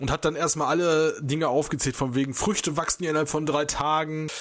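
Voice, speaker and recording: Against noticeable background noise, a man with a fairly high pitch talks fairly quickly with fairly even intonation. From Germany. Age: 30s. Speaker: podcast host. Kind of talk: casual chat.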